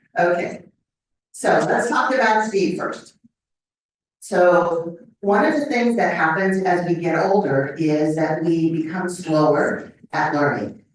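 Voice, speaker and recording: A woman's fairly low voice at a very slow pace, with ordinary pitch variation and audible room echo. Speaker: professor. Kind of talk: lecture. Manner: deliberately slow.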